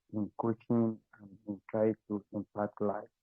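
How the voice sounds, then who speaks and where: Quiet and fairly low-pitched, a man speaks very slowly with monotone, flat intonation. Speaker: webinar participant. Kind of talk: casual chat.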